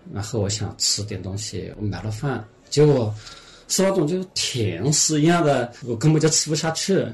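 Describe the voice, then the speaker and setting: A man speaks at a moderate pace, somewhat breathy. His intonation is lively. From Hunan, Xinhua county. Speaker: former film actor and odd-job worker. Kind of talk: casual interview. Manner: hesitant, many fillers.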